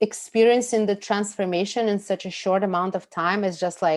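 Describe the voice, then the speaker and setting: This voice speaks with a Russian accent and ordinary pitch variation. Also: woman. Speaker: food and pleasure coach. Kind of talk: podcast interview. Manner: animated.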